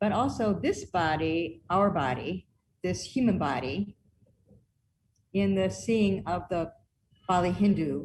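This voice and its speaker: Very slowly, a woman speaks with fairly low pitch and vocal fry. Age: 60s. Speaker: performance artist and researcher. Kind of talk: online presentation with demonstration.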